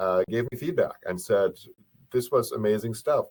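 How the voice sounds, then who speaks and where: A man's voice with a German accent. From Germany. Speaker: professor and author. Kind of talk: webinar presentation. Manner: mumbles a little; speaks fast when excited.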